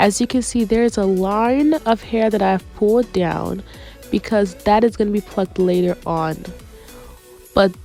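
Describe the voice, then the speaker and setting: Music plays in the background as the speech moves at a fairly slow pace with ordinary pitch variation. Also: woman. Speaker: beautician, wig stylist. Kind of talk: hair tutorial talk to camera.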